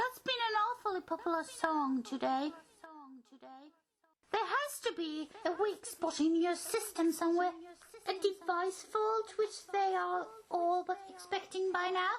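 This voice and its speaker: An extremely high-pitched put-on character voice delivers its lines at a moderate pace. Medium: comedy sketch. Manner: condescending, taunting.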